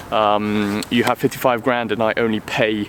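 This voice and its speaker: In a British accent, a man speaks at a medium pitch. Noticeable background noise is present. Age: 20s. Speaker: car vlogger. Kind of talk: casual vlog talk. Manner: hesitant with many ums.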